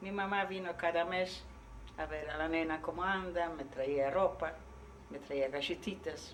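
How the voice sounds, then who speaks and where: A woman's fairly low, fairly evenly intoned voice against noticeable background noise. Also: fairly slow pace. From Poland. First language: Polish (speaking Spanish). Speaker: Holocaust survivor. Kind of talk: testimony. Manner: halting.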